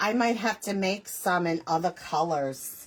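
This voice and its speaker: Her accent is American. Pitch variation in her speech is ordinary. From US Northeast, Long Island, New York. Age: 60s. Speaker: crafts YouTuber. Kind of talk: live stream tutorial with chat. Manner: casual, chatty.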